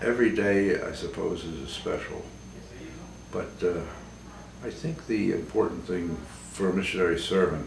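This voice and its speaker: Amid noticeable background noise and audible room echo, a man speaks with long, frequent pauses. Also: moderate pace. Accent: American. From US, Baltimore, Maryland. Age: 80s+. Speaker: priest. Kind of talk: interview testimony. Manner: halting, many fillers.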